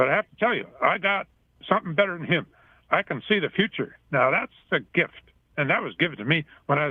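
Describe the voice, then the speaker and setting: A man talks very fast in a high voice with lively intonation. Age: 80s+. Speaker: caller. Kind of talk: phone-in call.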